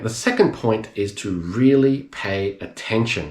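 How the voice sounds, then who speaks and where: In an Australian accent, a somewhat breathy voice speaks at a fairly slow pace with audible room echo. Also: man. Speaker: English teacher. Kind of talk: tutorial. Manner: slow, clear enunciation.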